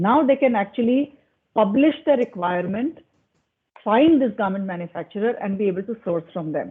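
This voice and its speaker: In an Indian accent, a woman speaks at a moderate pace with very wide pitch swings. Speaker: panelist on digital commerce. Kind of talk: panel discussion.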